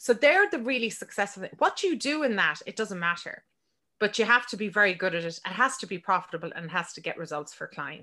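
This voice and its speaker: A woman with an Irish accent talks at a fairly quick pace in a fairly high pitch. Her tone is bright and sharp, and the background is quiet. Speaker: business mentor and podcaster. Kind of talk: casual interview.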